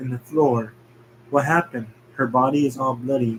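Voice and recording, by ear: Someone is reading aloud in a natural voice.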